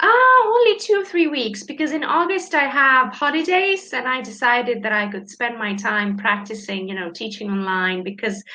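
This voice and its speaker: Over noticeable background noise, a woman speaks at a moderate pace in a high pitch with very wide pitch swings. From Canada, Toronto area. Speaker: English tutor. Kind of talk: casual chat.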